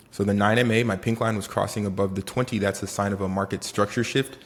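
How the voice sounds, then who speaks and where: A man speaks in a Haitian accent with a fairly low pitch. His tone is animated and his pace fairly quick. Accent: Haitian Caribbean. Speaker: day trader. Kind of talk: trading tutorial vlog. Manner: casual and animated.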